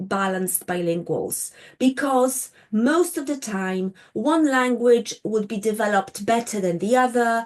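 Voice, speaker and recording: In a Polish accent, a woman with a fairly high pitch speaks at a fairly slow pace with lively intonation. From Poland. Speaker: linguistics lecturer. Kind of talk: lecture. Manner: halting, with many fillers.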